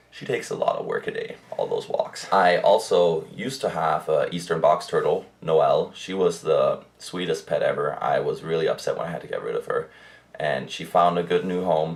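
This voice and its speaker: Against noticeable background noise, a man speaks at a moderate pace with hardly any pauses. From Germany. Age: young. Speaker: pet YouTuber. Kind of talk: casual vlog monologue. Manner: casual, hesitant with fillers.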